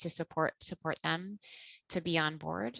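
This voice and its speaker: A woman with a fairly low, bright and sharp voice speaks at a moderate pace, with ordinary pitch variation and a dry, close sound with no echo. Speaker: webinar host, registry co-chair. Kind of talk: webinar presentation.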